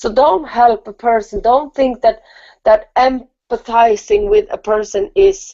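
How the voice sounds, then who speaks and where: A woman speaks fairly slowly at a fairly high pitch. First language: not English. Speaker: spiritual talk show co-host. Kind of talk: casual chat.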